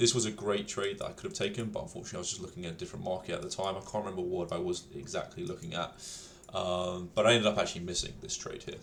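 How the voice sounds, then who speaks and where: A man talking at a very fast pace amid audible room echo. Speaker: day trader, video creator. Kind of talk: trading recap tutorial. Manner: casual, many fillers.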